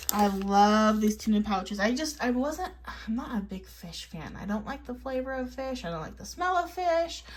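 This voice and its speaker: A woman speaks at a moderate pace in a fairly high voice with very wide pitch swings and hardly any pauses. Noticeable background noise runs underneath. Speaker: health vlogger. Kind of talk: casual vlog talk. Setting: in a car.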